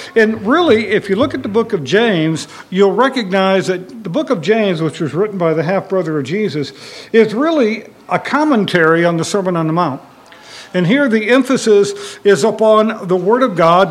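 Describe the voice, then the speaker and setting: Noticeable background noise sits behind a man speaking at a moderate pace. His pitch is high and his intonation lively. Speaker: Bible class teacher. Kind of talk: Bible study lecture. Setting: church classroom with audience.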